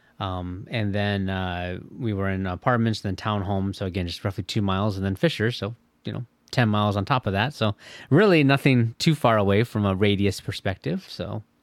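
Speaking fairly quickly with a Midwestern American accent and ordinary pitch variation, the voice comes through on a very clean recording with a silent background and a dry, close sound with no echo. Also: man, fairly low pitch for a man. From Michigan. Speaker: IT professional. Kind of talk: casual interview. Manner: hesitant, many fillers.

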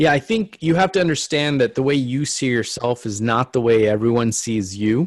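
A man speaks in a normal speaking voice at medium pitch and a moderate pace, with lively intonation and hardly any pauses. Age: 40s. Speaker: chief medical officer, emergency physician. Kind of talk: casual interview.

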